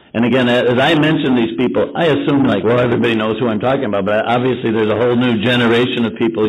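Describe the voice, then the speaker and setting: Here a man talks with ordinary pitch variation. Audible room echo surrounds his voice. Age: 60s. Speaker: recovery fellowship member. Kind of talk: testimony.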